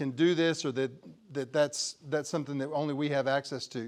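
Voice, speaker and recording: Over a quiet background, a man with a West Texas accent talks in a fairly high voice for a man. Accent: West Texas drawl. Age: 60s. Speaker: crop insurance agent. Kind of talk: presentation. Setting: conference talk to audience. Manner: halting, many repeated words.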